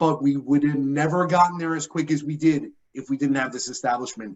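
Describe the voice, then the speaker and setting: A fairly high-pitched man with a New York accent, fairly even intonation and a fairly quick pace. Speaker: benefits account manager presenter. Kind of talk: conference presentation.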